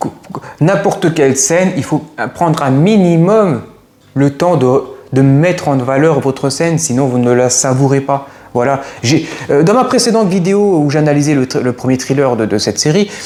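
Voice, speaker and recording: A man speaks in a fairly high pitch with ordinary pitch variation. Noticeable background noise runs beneath him. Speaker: YouTuber film critic. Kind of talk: video review monologue. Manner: fast; halting, many fillers and repetitions.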